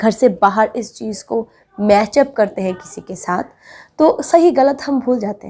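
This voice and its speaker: A woman with a Bengali accent talks at a fairly high pitch. Her intonation is lively and her loudness swings widely. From Bengal, India. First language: Bengali (speaking Hindi). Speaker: relationship advice vlogger. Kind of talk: advice monologue to camera.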